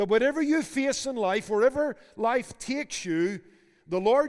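The speaker has a Northern Irish accent and talks at a fairly slow pace. The pitch swings very widely. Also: man. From Belfast, Northern Ireland. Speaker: preacher and seminary board member. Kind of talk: sermon. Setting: university chapel with students.

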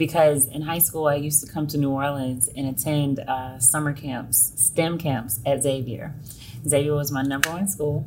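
With an American accent, a woman speaks in a very deep, low pitch and fairly even intonation, with audible room echo and noticeable background noise. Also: moderate pace. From US South, Selma, Alabama. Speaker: education consultant. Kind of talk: interview.

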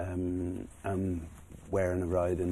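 A man speaks with a very deep, low pitch in a dark, mellow, somewhat breathy tone. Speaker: racehorse trainer. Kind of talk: casual interview chat.

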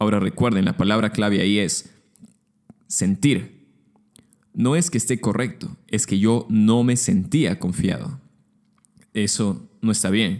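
A man speaks at a fairly slow pace with long, frequent pauses. His loudness stays very even while his intonation is lively. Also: fairly low pitch for a man. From Peru, Lima. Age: 20s. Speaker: podcast host, architecture student. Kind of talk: solo podcast monologue.

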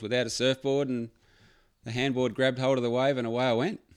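A man with an Australian accent speaks at medium pitch and a very fast pace. The recording is very clean, with a silent background. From Victoria, Australia (Phillip Island). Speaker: surf accessories business owner. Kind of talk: casual chat. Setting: studio.

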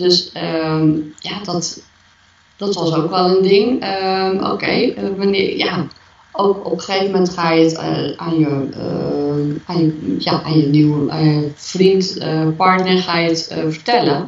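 At a very slow pace, a woman with a fairly low pitch and ordinary pitch variation speaks over noticeable background noise. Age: 40s. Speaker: interviewee sharing personal story. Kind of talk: podcast interview. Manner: halting.

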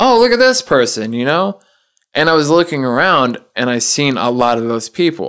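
An ordinary speaking voice from a man with an American accent, fairly high in pitch, at a moderate pace. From US South. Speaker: podcast guest, auto plant worker. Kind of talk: casual chat.

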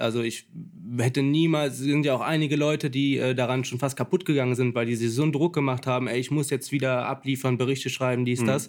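A man's normal speaking voice at a medium pitch, with very even loudness, fairly even intonation and a fairly quick pace. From Lower Rhine, Germany (St. Tönis near Krefeld). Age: 20s. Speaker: carp angler. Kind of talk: casual chat. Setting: tackle shop.

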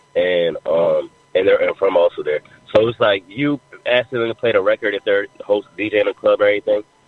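A man talks at a moderate pace in an American accent while noticeable background noise carries on underneath. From Jamaica, Queens, New York. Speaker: hip hop artist. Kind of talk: radio interview.

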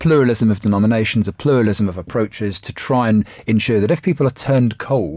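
Here a man with a British accent talks at a moderate pace. His fairly low voice carries lively intonation. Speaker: journalist and author. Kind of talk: panel discussion.

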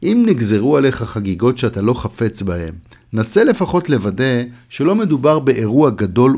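Over a very clean recording with a silent background, a man with a normal speaking voice talks at a moderate pace. His medium-pitched voice has lively intonation. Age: 60s. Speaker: columnist. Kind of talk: reading aloud.

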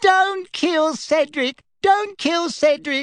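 A high-pitched voice is put on as a character. It moves at a very slow pace. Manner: mocking.

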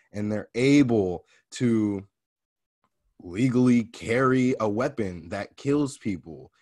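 A man speaks at a very slow pace with long, frequent pauses. His pitch is medium with ordinary variation, and the background is quiet. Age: 20s. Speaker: podcast host and inspirational speaker. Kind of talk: casual conversation.

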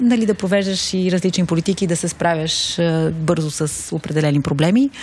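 The pitch shows ordinary variation. Noticeable background noise runs underneath. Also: woman. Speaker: city project coordinator. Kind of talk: interview.

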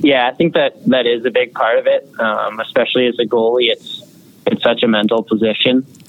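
A man at a moderate pace with very even loudness, plus noticeable background noise. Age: young. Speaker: junior hockey goaltender. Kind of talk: interview.

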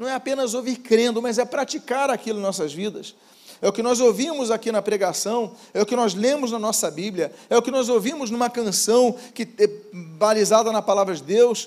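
A man with an extremely high pitch speaks at a moderate pace with ordinary pitch variation. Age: 50s. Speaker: pastor. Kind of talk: sermon.

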